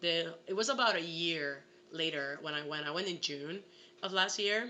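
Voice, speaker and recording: Speaking in a Puerto Rican accent, the voice has an animated tone and ordinary pitch variation at a moderate pace. Room echo is audible. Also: woman, fairly low pitch for a woman. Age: 20s. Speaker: actress. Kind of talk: casual chat.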